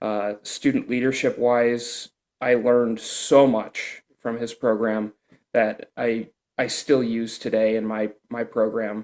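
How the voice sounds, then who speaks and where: A man at a very slow pace, in a monotone, flat intonation. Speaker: band director, bassoon player. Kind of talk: casual interview. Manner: high energy.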